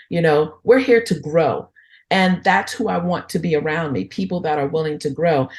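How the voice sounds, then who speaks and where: At a moderate pace, a somewhat breathy woman with a fairly low pitch speaks with lively intonation over a quiet background. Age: 60s. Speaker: entrepreneur, women's network founder. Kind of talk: podcast interview.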